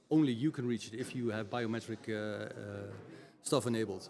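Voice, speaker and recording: A man with a Dutch accent speaks at a fairly quick pace. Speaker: IT executive and tech expert. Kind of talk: podcast interview. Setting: recorded at a community event. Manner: halting, many fillers.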